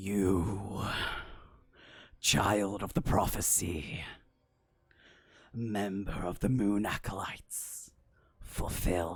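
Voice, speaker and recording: A man uses a put-on character voice with a fairly low pitch. He goes at a very slow pace, with long, frequent pauses. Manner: booming, ominous.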